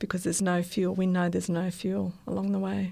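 A female speaker with an Australian accent. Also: very clean recording, silent background. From Australia, Sydney. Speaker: nurse and missionary. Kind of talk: interview.

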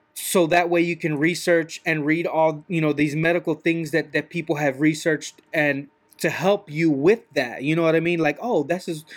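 This man speaks at a moderate pace with a fairly high pitch and fairly even intonation. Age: 30s. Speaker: podcaster. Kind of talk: monologue rant. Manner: halting.

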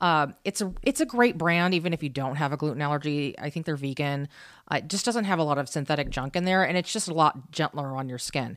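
A woman with an American accent talks very fast in a very deep, low voice with ordinary pitch variation. The recording is very clean, with a silent background. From US Midwest. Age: 20s. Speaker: podcast co-host. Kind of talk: casual chat.

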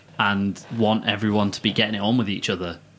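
Over noticeable background noise, a man with a medium pitch talks at a fairly quick pace in a playful tone. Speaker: co-host. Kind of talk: casual chat, joking. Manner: joking, playful.

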